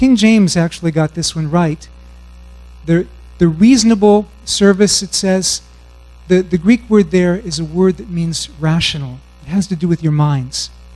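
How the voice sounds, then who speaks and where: Music plays in the background as a man talks at a moderate pace. His pitch is high, with ordinary variation. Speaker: conference speaker. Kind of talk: sermon-like lecture. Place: stage. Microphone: handheld.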